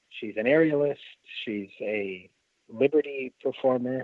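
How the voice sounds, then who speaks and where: A man speaks at a fairly slow pace in a normal speaking voice, medium in pitch, with lively intonation. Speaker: ringmaster and circus performer. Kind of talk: interview answer.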